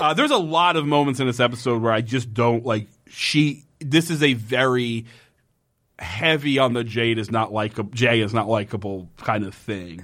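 On a very clean recording with a silent background, a man with a plain, everyday voice speaks at a moderate pace, with a medium pitch and ordinary pitch variation. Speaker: podcast host. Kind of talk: casual comedic chat. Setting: studio.

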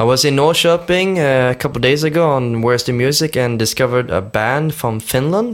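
With a Swedish accent, a man speaks at a moderate pace and medium pitch, with ordinary pitch variation, hardly any pauses and very even loudness. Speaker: podcast host. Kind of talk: music chart presentation.

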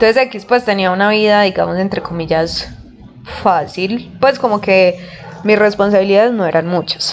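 A woman with a Colombian accent speaks at a medium pitch and a moderate pace. Her pitch varies in an ordinary way over noticeable background noise. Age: 20s. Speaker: podcast host. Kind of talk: casual monologue.

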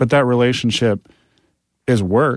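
A normal speaking voice at a fairly quick pace, ordinary pitch variation, on a very clean recording with a silent background. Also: man. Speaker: music industry professional. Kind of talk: casual interview chat.

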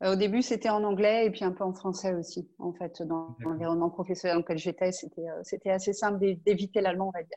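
A woman's medium-pitched voice with a dark, mellow tone, very fast and with hardly any pauses. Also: ordinary pitch variation. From western France (Angers). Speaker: astronaut candidate. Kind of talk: interview. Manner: hesitant, many fillers.

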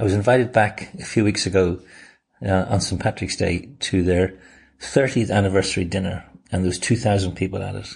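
Against a quiet background, a somewhat breathy speaker with a Dublin accent goes at a fairly quick pace with fairly even intonation. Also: man. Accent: Dublin Irish. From Ireland, Dublin. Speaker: diaspora networking expert. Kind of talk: interview. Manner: hesitant fillers.

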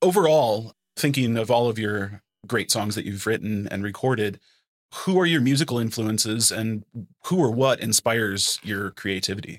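A man at a medium pitch and moderate pace, a normal speaking voice in a very clean recording with a silent background. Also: ordinary pitch variation. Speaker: podcast host. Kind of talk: interview conversation.

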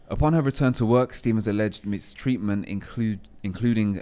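On a very clean recording with a silent background, a man with a dark, mellow tone talks at a moderate pace with ordinary pitch variation. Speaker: podcast team member. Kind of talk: reading aloud.

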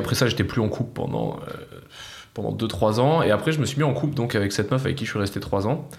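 A man talks at a medium pitch with lively intonation. Audible room echo and noticeable background noise are present. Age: 20s. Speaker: former soldier. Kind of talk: casual chat.

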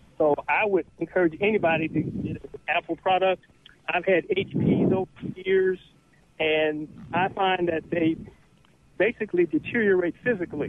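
Amid noticeable background noise, a man with a high pitch talks at a moderate pace with fairly even intonation and long, frequent pauses. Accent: Southern US. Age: 60s. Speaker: caller. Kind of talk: call-in radio show. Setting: phone call.

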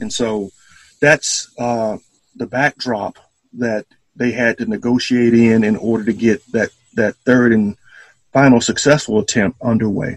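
A man with an Alabama accent speaks with fairly even intonation and long, frequent pauses in a dry, close sound with no echo. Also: medium pitch for a man, fairly slow pace. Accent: Southern US (Alabama). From US South, Selma, Alabama. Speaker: historian and entrepreneur. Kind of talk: interview. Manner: halting, many fillers.

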